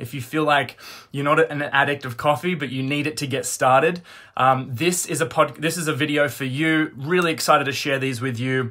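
At a moderate pace, a man with a bright, sharp tone and fairly even intonation speaks over a quiet background. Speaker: wellness coach. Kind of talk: motivational talk to live audience. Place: home room. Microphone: phone near.

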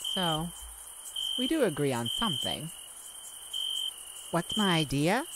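A woman puts on a character voice that sits low for a woman, with big swings in pitch, a slow pace and a fairly bright tone.

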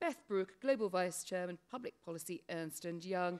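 With a British accent, a woman speaks at a medium pitch with ordinary variation. The background is quiet. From Britain. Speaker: panel moderator. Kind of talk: panel discussion. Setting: stage with audience. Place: hall. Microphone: podium.

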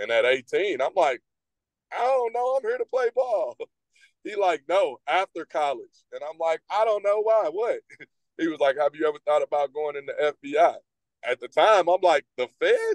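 A man with an American accent speaks at a moderate pace. The sound is dry with no echo, and the background is quiet. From US Midwest. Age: 40s. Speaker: retired police investigator. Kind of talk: interview. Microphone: video call.

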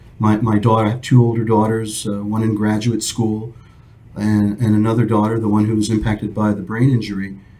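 Delivered at a fairly quick pace in an American accent, the monotone, flat speech carries audible room echo. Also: man, fairly low pitch for a man. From New York. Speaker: retired airline captain. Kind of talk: interview.

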